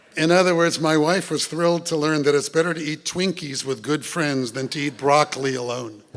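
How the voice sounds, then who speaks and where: Against noticeable background noise, a man with a fairly high pitch talks at a fairly quick pace with hardly any pauses and ordinary pitch variation. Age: 70s. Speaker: rabbi. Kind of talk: sermon.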